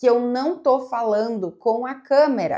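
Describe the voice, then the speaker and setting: A woman's relaxed tone with lively intonation. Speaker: psychologist and content creator. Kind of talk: casual reaction video monologue. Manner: relaxed, flowing.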